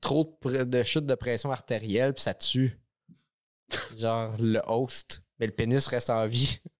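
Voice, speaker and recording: The speech comes at a fairly slow pace with long, frequent pauses and very even loudness. The recording is very clean, with a silent background. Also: man, medium pitch for a man, fairly even intonation. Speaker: podcast co-host. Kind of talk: casual chat.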